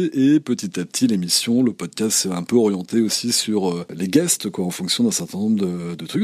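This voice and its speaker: Dark and mellow in tone, a man's fairly low voice moves at a moderate pace with ordinary pitch variation. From France, Normandy. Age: 40s. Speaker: photographer and podcast host. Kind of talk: interview conversation. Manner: hesitant, many fillers.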